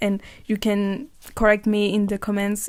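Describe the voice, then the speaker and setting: A woman speaks with a French accent. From France. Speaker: podcaster. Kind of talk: casual monologue. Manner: halting.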